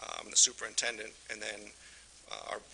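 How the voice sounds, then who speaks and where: Fairly quick speech from a man with an American accent, noticeable background noise behind him. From Michigan. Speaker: utility superintendent. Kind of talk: presentation at council meeting.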